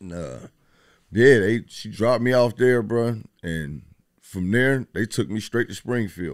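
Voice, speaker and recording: Using a plain, everyday voice with an American accent, the speaker moves at a fairly slow pace with lively intonation and big swings in loudness. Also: man, fairly low pitch for a man. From Dayton, Ohio (Westwood). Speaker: chef and rapper. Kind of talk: casual interview. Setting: studio.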